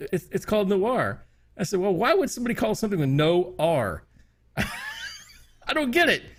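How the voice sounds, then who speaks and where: Very wide pitch swings mark a man's high voice with a Wyoming accent, kept at very even loudness over noticeable background noise. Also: moderate pace. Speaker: podcast co-host. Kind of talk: casual chat.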